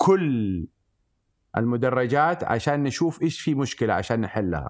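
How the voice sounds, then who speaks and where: On a very clean recording with a silent background, a man with a medium pitch speaks at a fairly slow pace in an animated tone with lively intonation. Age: 60s. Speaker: event company founder. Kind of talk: interview.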